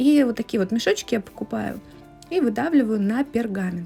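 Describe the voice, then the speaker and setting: Ordinary pitch variation, a fairly quick pace, a somewhat breathy quality and a dark, mellow tone. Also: woman. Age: 30s. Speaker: home cooking vlogger. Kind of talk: cooking tutorial. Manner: casual.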